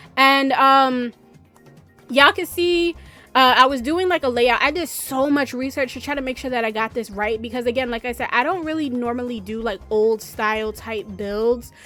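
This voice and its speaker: With music in the background, a woman in an American accent talks at a moderate pace, her high pitch showing ordinary variation. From New York, raised by southern US family. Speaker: gaming YouTuber. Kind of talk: voiceover commentary. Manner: casual, rambling with many fillers; loud.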